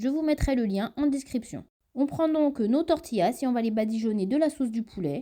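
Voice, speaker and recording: A woman's voice sits high in pitch, with a dark, mellow tone and ordinary pitch variation. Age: 30s. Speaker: cooking video creator. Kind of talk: cooking tutorial narration.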